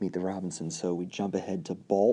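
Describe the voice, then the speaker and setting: A soft-spoken man's very deep, low voice, dark and mellow, with a relaxed tone and fairly even intonation. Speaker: pin collector, video creator. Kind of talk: casual talk to camera, hobby show-and-tell. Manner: soft-spoken, relaxed.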